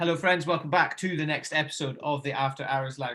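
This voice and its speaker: A man speaks at a very fast pace with a fairly high pitch and ordinary pitch variation. His tone is bright and sharp, and the recording is very clean with a silent background. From Scotland. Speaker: podcast host. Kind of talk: casual chat.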